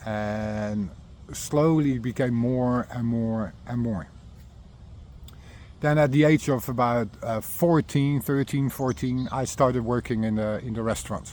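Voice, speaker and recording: This man talks at a fairly slow pace. He speaks with a Dutch accent. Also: medium pitch for a man, ordinary pitch variation. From Netherlands, Rotterdam area. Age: 50s. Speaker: recovering alcoholic sharing his story. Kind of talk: personal testimony monologue. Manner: halting, many fillers and repetitions.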